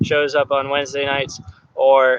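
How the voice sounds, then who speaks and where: A man is speaking. His pace is fairly slow. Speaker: parkour coach. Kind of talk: live online class. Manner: casual, chatty.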